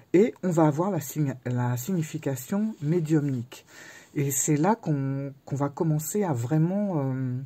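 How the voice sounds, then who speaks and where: Very slowly, a woman speaks in a very deep, low pitch with a dark, mellow tone and ordinary pitch variation. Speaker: tarot and oracle youtuber. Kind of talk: book review. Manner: halting.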